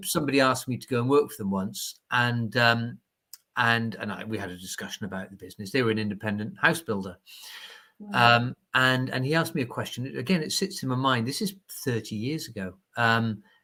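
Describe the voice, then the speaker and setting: A man speaks with lively intonation in a bright, sharp tone. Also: medium pitch for a man. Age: 50s. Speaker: property auctioneer. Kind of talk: podcast interview answer.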